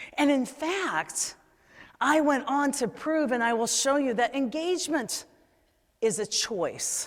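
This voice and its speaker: A woman speaks very slowly in a high voice. Her intonation is lively. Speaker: leadership keynote speaker. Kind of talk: conference keynote speech. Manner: high-energy, humorous.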